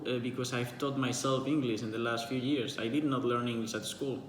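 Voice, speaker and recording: A man with a Spanish accent speaks in a medium pitch with monotone, flat intonation. Audible room echo and noticeable background noise surround him. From Spain. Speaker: writer and book vlogger. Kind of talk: casual monologue answering a book tag. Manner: halting, many fillers and repetitions.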